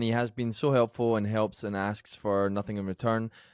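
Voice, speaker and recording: The speaker has a Scottish accent. The recording is very clean, with a silent background. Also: man. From Scotland. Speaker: podcast producer reading news. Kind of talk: casual chat.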